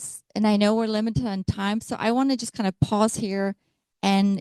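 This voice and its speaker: A woman speaks in a fairly high pitch with a dark, mellow tone. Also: dry, close sound with no echo. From Poland. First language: Polish. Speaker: health speaker. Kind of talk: talk to a meeting.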